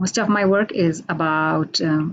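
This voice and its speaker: A woman's voice with an Indian accent and ordinary pitch variation. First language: Hindi. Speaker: poet. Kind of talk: introduction before poetry reading. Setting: radio station, online video call.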